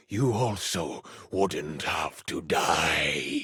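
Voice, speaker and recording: In a put-on character voice, a man growls in a raspy, menacing tone at a fairly low pitch with very wide pitch swings. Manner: low, menacing, growling.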